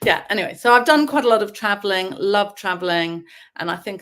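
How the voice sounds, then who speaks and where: A woman talks with an English accent. The recording is very clean, and the background is silent. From England (boarding school from age seven). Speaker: novelist. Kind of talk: interview.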